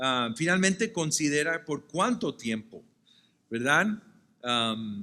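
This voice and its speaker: A man at a very slow pace, fairly high in pitch, with very wide pitch swings and a bright, sharp tone. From Puerto Rico. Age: 60s. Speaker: pastor. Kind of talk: sermon-style lecture at pastors' retreat. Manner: some stammering and self-corrections.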